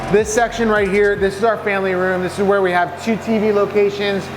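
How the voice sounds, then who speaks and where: Over noticeable background noise, a man speaks at a high pitch in an enthusiastic tone. Room echo is audible. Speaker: real estate developer and contractor. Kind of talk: site tour vlog. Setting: construction site. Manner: fast.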